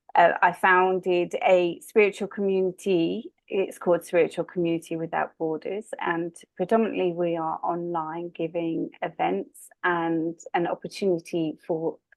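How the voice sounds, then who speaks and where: In an English accent, a woman talks at a fairly slow pace with a fairly low pitch and fairly even intonation. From southwest England. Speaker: spiritual medium and coach. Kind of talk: interview conversation.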